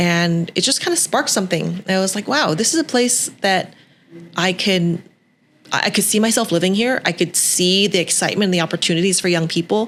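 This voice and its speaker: In an unremarkable speaking voice, a woman talks at a fairly quick pace with a medium pitch, ordinary pitch variation and very even loudness. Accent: Canadian. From western Canada, Vancouver. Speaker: TV host and entrepreneur. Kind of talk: podcast interview.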